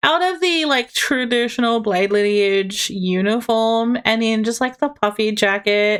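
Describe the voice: Here is plain reading aloud with ordinary pitch variation.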